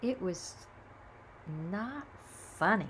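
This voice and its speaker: Her voice is somewhat breathy and sits at a medium pitch for a woman. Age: 70s. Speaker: video blogger sharing reflections. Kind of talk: casual spiritual monologue. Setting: home video recording. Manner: halting.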